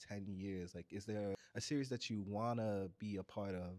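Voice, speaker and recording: A man talks at a fairly slow pace with a fairly low pitch and ordinary pitch variation. He has an unremarkable speaking voice. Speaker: interviewer. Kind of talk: convention interview host.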